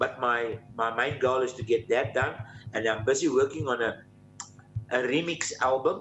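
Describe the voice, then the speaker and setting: With music in the background, a man talks at a moderate pace with fairly even intonation. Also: medium pitch for a man. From South Africa, Johannesburg. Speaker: country musician. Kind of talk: interview.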